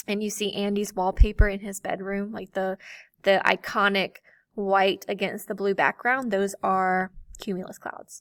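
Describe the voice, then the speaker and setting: A woman with a plain, everyday voice speaks at a medium pitch and moderate pace in a dry, close sound with no echo, on a very clean recording with a silent background. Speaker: teacher. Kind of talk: lecture.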